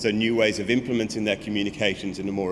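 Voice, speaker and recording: Amid audible room echo, a man speaks at a very fast pace with fairly even intonation. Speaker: creative technology agency CEO. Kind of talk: conference talk. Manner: many fillers and repetitions.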